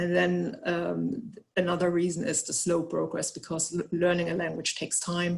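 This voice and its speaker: Speech moves along at a moderate pace. A German accent colors it. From Germany. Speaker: researcher. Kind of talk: webinar presentation. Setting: online webinar. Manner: halting, many fillers and repetitions.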